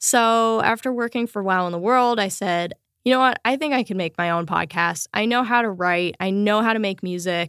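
A woman talks in an ordinary speaking voice at a medium pitch, with ordinary pitch variation and a fairly quick pace with hardly any pauses. The sound is dry and close with no echo, on a very clean recording with a silent background. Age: 30s. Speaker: podcaster and bass player. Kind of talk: interview. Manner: casual, filler-heavy.

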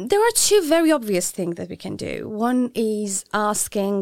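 A woman with a Persian accent speaks at medium pitch with lively intonation, the sound dry and close with no echo. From Iran. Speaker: feminist activist. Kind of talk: interview. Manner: halting.

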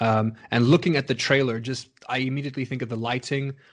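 Moving at a fairly quick pace, a man talks in an unremarkable speaking voice. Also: quiet background. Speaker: podcast host and voice actor. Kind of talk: casual chat. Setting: remote call during lockdown.

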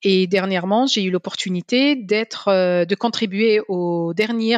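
A woman speaks very slowly at a medium pitch with ordinary pitch variation. The sound is dry and close, with no echo. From Algeria, Algiers. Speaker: energy policy scientist and economist. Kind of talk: interview.

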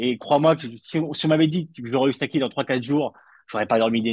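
A man's normal speaking voice, fairly high in pitch, at a fairly quick pace in a dry, close sound with no echo. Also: quiet background. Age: 30s. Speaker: football journalist. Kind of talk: casual chat.

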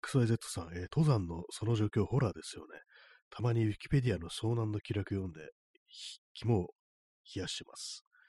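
Somewhat breathy and dark, mellow in tone, a man speaks at a moderate pace with a fairly low pitch, ordinary pitch variation and big swings in loudness, in a very clean recording with a silent background and a dry, close sound with no echo. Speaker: livestream radio host. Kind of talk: casual solo talk reading listener comments. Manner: rambling, many fillers.

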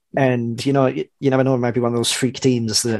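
The man's medium-pitched voice holds a monotone, flat intonation. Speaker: football podcast pundit. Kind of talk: casual chat. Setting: video call.

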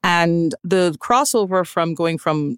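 In a Trinidadian accent, the speaker shows ordinary pitch variation, recorded with a dry, close sound with no echo. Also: woman. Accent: Trinidadian Caribbean. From Trinidad and Tobago. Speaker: private chef. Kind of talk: casual chat.

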